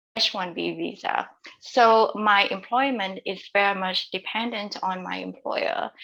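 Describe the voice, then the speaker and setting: The voice has a bright, sharp tone. Vocal fry comes through in it. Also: woman. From Vietnam. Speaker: author. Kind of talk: interview. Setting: podcast.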